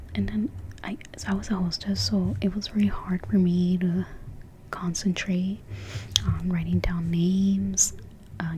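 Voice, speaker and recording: Soft-spoken and at a moderate pace, a woman talks against noticeable background noise. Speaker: ASMR creator. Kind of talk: personal story time.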